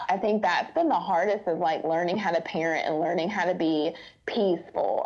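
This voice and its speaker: Noticeable background noise runs under the speech. The pace is moderate, with ordinary pitch variation. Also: woman. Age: 30s. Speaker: foster mom and church assistant. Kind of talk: casual chat.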